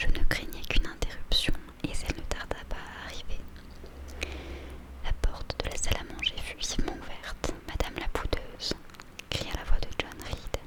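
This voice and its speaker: A fairly slow whisper against noticeable background noise. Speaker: book reader / ASMR creator. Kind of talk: ASMR whispered book reading. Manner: soft-spoken, slow.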